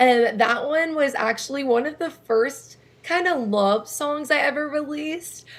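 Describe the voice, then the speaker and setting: With an American accent, a woman talks at a moderate pace with ordinary pitch variation. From Oklahoma. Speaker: singer-songwriter. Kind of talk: interview.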